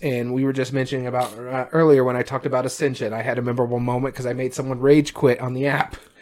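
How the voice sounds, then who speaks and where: A man at a very fast pace with hardly any pauses and fairly even intonation, over noticeable background noise. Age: 30s. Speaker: board game podcast co-host. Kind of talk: casual chat.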